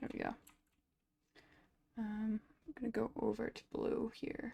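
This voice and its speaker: Fairly high in pitch with fairly even intonation, a woman speaks in a dark, mellow tone touched by vocal fry. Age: 20s. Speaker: digital artist streamer. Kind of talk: casual chat while drawing on stream. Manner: fast.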